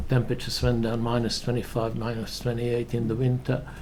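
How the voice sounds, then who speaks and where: In a room with audible echo, a man at a medium pitch speaks with flat, monotone intonation. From Hungary. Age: 80s+. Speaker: Holocaust survivor witness. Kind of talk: testimony. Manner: halting.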